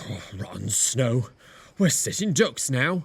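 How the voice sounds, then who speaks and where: Putting on a raspy character voice, a man speaks fairly slowly at a medium pitch with very wide pitch swings. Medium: machinima.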